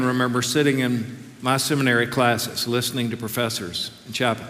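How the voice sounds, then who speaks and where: Noticeable background noise runs under a monotone, flat delivery at a fairly quick pace. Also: man. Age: 60s. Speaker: seminary professor preaching. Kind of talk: sermon. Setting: chapel with audience.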